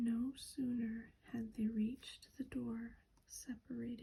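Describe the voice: The intonation stays fairly even. It is plain reading aloud.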